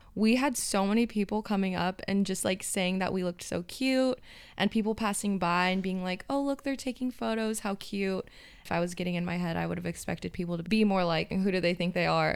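A woman with an American accent speaks fairly quickly in an unremarkable speaking voice at medium pitch, with ordinary pitch variation. The recording is very clean, with a silent background. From US, Southern California (LA County). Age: 20s. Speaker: podcast co-host. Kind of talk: casual chat. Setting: home office.

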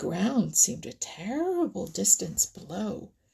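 Reading in an unforced voice

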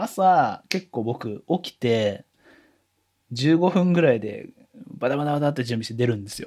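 Lively intonation and big swings in loudness mark a man's dark, mellow voice, broken by long, frequent pauses. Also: medium pitch for a man, moderate pace. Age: 30s. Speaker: office worker. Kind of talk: casual chat.

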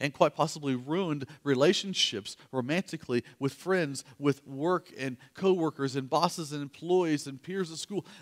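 A man with an unremarkable speaking voice talks at a moderate pace in a fairly high pitch, with ordinary pitch variation and a dry, close sound with no echo. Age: 40s. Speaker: pastor. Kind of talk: sermon. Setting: church.

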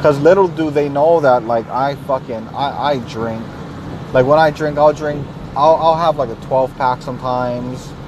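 Moderate-paced male speech, fairly high in pitch with fairly even intonation, over noticeable background noise. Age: 30s. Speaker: podcaster. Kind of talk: personal monologue. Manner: halting.

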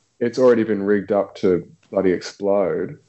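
A man's fairly low voice with an Australian accent, fairly quick delivery and fairly even intonation. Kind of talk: casual chat.

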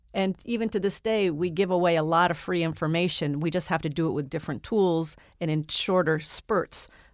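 A plain, everyday voice from a woman, fairly low in pitch, with ordinary pitch variation, a fairly quick pace and a very clean recording over a silent background. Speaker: co-host, entrepreneur. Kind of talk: radio show discussion.

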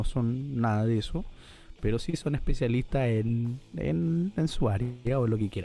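A man with a Chilean accent talks at a fairly slow pace while music plays in the background. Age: 20s. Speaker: podcast co-host, law student. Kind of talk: casual chat.

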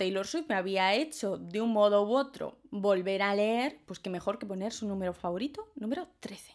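Animated and lively in intonation, a woman speaks at a moderate pace and fairly high pitch with hardly any pauses. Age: 20s. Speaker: podcaster. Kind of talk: casual monologue.

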